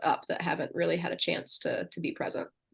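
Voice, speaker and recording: A woman talks at a very fast pace. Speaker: neurodivergent life coach. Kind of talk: casual chat. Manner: loud; animated.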